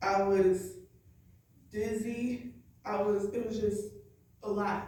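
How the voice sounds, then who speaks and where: Very slowly and somewhat breathily, a woman talks at a medium pitch with a dark, mellow tone and monotone, flat intonation. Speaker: evangelist. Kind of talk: church sermon / spoken word. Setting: church congregation.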